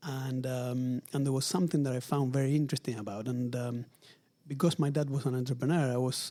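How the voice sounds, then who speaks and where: In an Argentine accent, a man speaks at a medium pitch with a dark, mellow tone and fairly even intonation. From Argentina, Buenos Aires. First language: Spanish. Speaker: luxury retail executive. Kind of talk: interview. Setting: in person at company headquarters.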